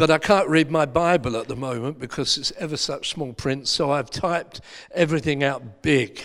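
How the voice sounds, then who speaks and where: A man with an Essex accent talks at a moderate pace. His pitch is fairly high, with ordinary variation. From Essex, England. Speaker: pastor. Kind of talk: sermon.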